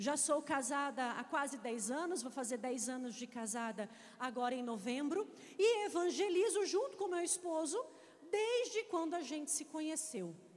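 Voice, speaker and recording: Moderate speed and very wide swings in pitch, amid audible room echo and noticeable noise in the background. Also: woman, high pitch for a woman. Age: 30s. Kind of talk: sermon.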